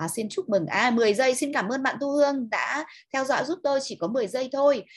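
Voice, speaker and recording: The speaker sounds animated and enthusiastic against a quiet background. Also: woman. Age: 50s. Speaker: online seminar presenter. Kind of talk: lecture. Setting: online webinar. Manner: animated, enthusiastic. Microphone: video call.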